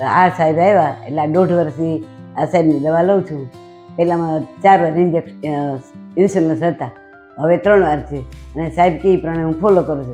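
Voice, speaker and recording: Music plays in the background. A woman speaks at a fairly low pitch. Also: ordinary pitch variation. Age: 70s. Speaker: diabetes patient. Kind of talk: patient testimonial interview answers. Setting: hospital.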